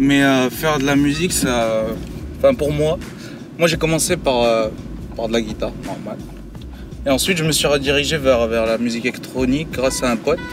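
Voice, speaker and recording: Over music in the background, a man of medium pitch talks at a moderate pace with ordinary pitch variation and long, frequent pauses. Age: 20s. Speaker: DJ and electronic music producer. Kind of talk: casual interview. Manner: hesitant, many fillers.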